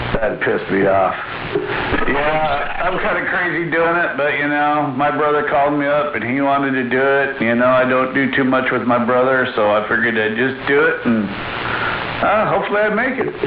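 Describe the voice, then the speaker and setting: Over noticeable background noise and audible room echo, a man with a fairly high pitch speaks at a moderate pace, keeping his loudness very even and his pitch variation ordinary. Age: 60s. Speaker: CB radio operator. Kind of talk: casual chat. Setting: CB radio transmission.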